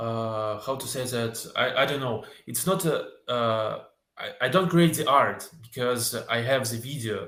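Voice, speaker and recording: With a Russian accent, a man speaks at a fairly slow pace and medium pitch in a bright, sharp tone. Audible room echo surrounds the voice. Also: ordinary pitch variation. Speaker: filmmaker and video editor. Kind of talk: interview. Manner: halting.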